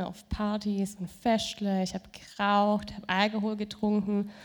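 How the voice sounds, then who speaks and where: A woman talks at a moderate pace. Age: young. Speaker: churchgoer giving testimony. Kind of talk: testimony. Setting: stage with audience.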